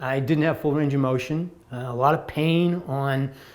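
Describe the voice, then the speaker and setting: A man with an ordinary speaking voice talks at a fairly slow pace, his fairly high pitch kept to fairly even intonation. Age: 60s. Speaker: patient giving testimonial. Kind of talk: testimony.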